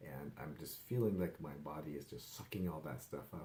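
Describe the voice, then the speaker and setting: A man speaks at a moderate pace in a very deep, low voice with a dark, mellow tone and ordinary pitch variation. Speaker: wellness vlogger and life coach. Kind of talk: casual vlog update. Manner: rambling, filler-heavy.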